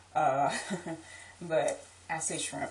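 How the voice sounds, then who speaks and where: Noticeable background noise surrounds a woman speaking in a very deep, low pitch. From New Orleans, Louisiana. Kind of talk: accent tag video, casual talk to camera.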